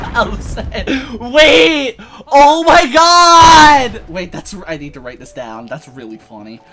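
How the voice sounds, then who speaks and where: Very slow speech with music in the background. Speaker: gaming streamer. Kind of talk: casual chat. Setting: live stream. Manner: halting.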